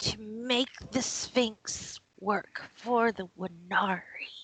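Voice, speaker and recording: In a put-on character voice, a woman talks at a very slow pace with a fairly high, raspy pitch and fairly even intonation. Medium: actual play. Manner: curt, sullen.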